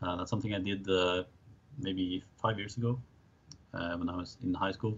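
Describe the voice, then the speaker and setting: A man's very deep, low, somewhat breathy voice at a moderate pace. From Norway, Oslo area. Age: 20s. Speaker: chess player and student. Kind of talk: interview. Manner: hesitant, many fillers.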